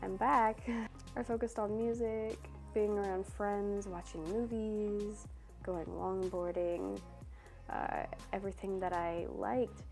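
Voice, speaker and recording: Music plays in the background as a woman talks at a fairly slow speed. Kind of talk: personal advice talk about self-worth.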